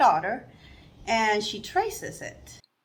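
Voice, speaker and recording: A woman speaks fairly slowly, her intonation lively. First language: non-English. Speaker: sewing vlogger. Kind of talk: casual vlog talk.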